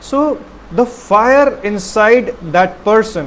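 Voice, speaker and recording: Noticeable background noise behind a man, his pitch varying in an ordinary way. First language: not English (unnamed mother tongue). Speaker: health talk presenter. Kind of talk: monologue talk. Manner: halting.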